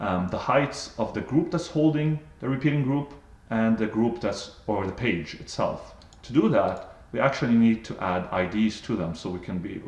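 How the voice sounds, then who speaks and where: A man at medium pitch with lively intonation and a moderate pace, amid audible room echo. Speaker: software trainer. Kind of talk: tutorial. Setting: live webinar.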